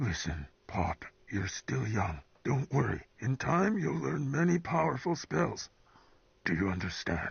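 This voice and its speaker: Putting on a raspy character voice, a man speaks at a fairly slow pace and fairly low pitch, with very wide pitch swings and very even loudness. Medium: video game. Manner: grave, fatherly.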